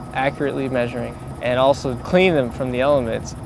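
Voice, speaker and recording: A man with an American accent speaks with fairly even intonation. Audible room echo and noticeable background noise are present. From South Florida. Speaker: park hydrology technician. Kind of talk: field explainer interview. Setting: outdoors in the marsh.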